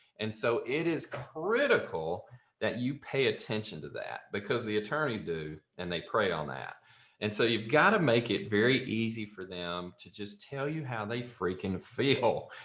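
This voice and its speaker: Speaking with a Southern US accent, a man uses lively intonation. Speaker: software company founder and CEO. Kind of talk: podcast interview, storytelling.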